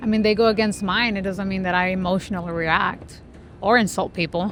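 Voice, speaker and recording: Speech comes at a fairly quick pace, the intonation staying fairly even. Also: woman, medium pitch for a woman. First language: not English. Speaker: debate team member. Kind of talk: heated debate. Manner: assertive, argumentative.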